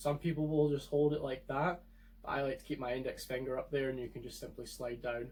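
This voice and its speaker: A man with a Scottish accent speaks at a very fast pace, his voice fairly high and somewhat breathy. His intonation stays fairly even. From Scotland. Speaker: firearms video creator. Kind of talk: tutorial.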